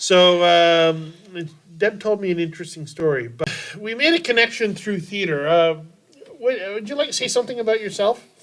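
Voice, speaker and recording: A man's high voice with lively intonation at a moderate pace, set against noticeable background noise. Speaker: podcast host, community theater performer. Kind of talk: casual chat.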